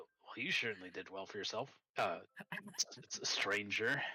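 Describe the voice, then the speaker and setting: A put-on character voice is in use. Delivery moves at a moderate pace. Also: man, medium pitch for a man. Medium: actual play.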